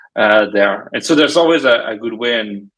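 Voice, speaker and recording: A man with a French accent, medium pitch and a bright, sharp tone, at a moderate pace. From France. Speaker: cybersecurity startup technologist. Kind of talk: casual podcast interview. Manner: hesitant, many fillers.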